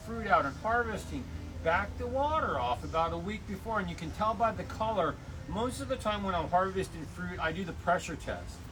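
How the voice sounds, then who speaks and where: Noticeable background noise and audible room echo around a man speaking at a moderate pace. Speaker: garden center expert. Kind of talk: tutorial. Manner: loud; casual, hesitant with many fillers.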